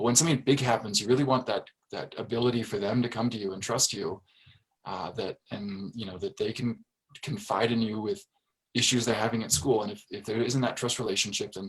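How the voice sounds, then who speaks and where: This man talks at a fairly quick pace with an American accent and a medium pitch. His voice is somewhat breathy, with ordinary pitch variation. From Fairfax, Virginia, US. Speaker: school board member. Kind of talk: interview.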